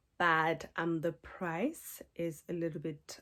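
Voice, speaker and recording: A woman speaks softly at a fairly low pitch. The recording is very clean, with a silent background. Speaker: book club curator. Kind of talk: ASMR book talk to camera. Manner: soft-spoken; calm, relaxing.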